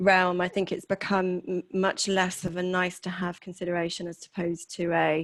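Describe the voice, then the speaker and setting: At a moderate pace and medium pitch, a woman speaks in a monotone, flat intonation, the recording very clean, dry and close with no echo and a silent background. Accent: British. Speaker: HR executive. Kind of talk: interview. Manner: hesitant, many fillers.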